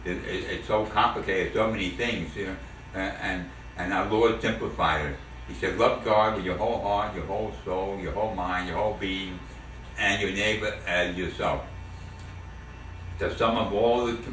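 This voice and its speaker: A man with a New York accent, fairly low in pitch, fairly even in intonation and moderate in pace, with audible room echo. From New York City, the Bronx. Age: 70s. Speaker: war veteran. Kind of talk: family oral history interview. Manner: halting, many repetitions and fillers.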